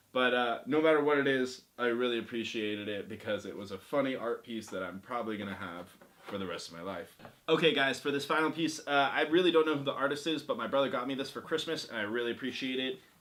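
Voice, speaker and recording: Amid noticeable background noise, a man talks at a very fast pace in a medium pitch with lively intonation. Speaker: YouTuber. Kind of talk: casual video review of collectibles. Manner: hesitant, many fillers.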